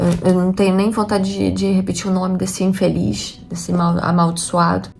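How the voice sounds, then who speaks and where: A woman with a Rio de Janeiro accent at a moderate pace, over noticeable background noise. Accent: Carioca Brazilian Portuguese. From Rio de Janeiro, Brazil. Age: 40s. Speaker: homemaker and vlogger. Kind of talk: casual talk to camera.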